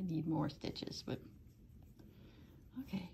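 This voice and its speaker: Somewhat breathy and dark, mellow in tone, a woman speaks with an American accent. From US Upper Midwest, northern Wisconsin. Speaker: crochet tutorial maker. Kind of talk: tutorial with casual chat. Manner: soft-spoken.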